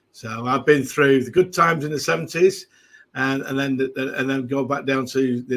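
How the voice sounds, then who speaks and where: With a Mancunian accent, a man talks at a fairly quick pace in a medium pitch. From northern England, Manchester. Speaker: football fan guest. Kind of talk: casual chat. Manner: halting.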